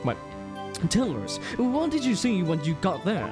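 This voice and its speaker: Against loud music in the background, a nasal, put-on character voice at middle pitch moves at a moderate pace. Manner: stern, questioning.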